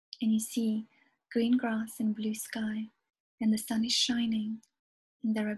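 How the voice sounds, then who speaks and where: A woman speaks in a soothing, gentle tone, somewhat breathy and fairly high in pitch. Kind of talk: guided hypnosis meditation. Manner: slow, soothing, hypnotic, gentle.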